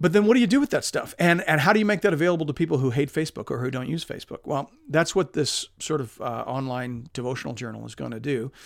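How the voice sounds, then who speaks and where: Over a silent background in a very clean recording, a man speaks at a very fast pace with lively intonation. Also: fairly high pitch for a man, big swings in loudness. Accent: Canadian. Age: 40s. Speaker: pastor and podcast host. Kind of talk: podcast update monologue.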